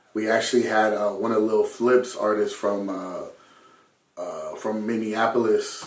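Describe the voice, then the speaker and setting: With an American accent, a man speaks at a moderate pace in a fairly low pitch. Room echo is audible, along with noticeable background noise. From Southern California. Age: 20s. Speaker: rapper and music producer. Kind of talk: casual chat.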